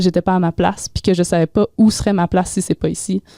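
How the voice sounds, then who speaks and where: In a dry, close sound with no echo and a very clean recording with a silent background, a woman with a Quebec accent speaks at medium pitch in a dark, mellow tone with fairly even intonation. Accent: Québécois French. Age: 20s. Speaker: mental health advocate. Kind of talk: interview.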